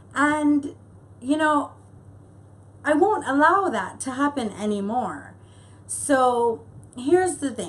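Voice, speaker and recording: Speaking at a very slow pace with long, frequent pauses, a woman uses a high pitch and lively intonation over noticeable background noise. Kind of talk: casual talk to camera.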